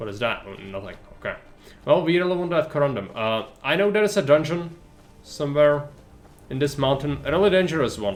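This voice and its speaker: Over music in the background, a man talks at a fairly quick pace. His intonation is lively, and there is audible room echo. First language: not English. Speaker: video game streamer. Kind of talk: live gameplay commentary. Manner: casual, conversational.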